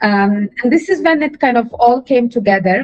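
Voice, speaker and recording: Music plays in the background as the voice moves at a moderate pace with very wide pitch swings. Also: woman. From Ukraine. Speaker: design and consulting leader. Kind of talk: podcast interview. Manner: hesitant, many fillers.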